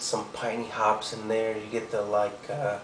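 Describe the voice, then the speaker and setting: Against noticeable background noise and audible room echo, a man speaks at a moderate pace. His fairly low voice is monotone and flat. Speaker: beer reviewer. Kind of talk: product review. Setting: home at night. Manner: whispering; hesitant, many fillers.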